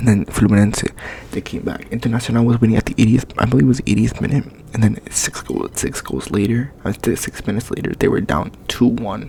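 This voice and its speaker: The man talks fairly quickly at medium pitch, with ordinary pitch variation and noticeable background noise behind him. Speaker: ASMR creator. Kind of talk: ASMR rant about soccer.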